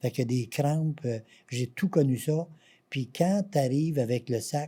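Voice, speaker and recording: In a Quebec accent, a somewhat breathy voice with a dark, mellow tone speaks at a very slow pace with ordinary pitch variation on a very clean recording with a silent background. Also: man, fairly high pitch for a man. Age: 70s. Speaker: patient association president. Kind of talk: interview.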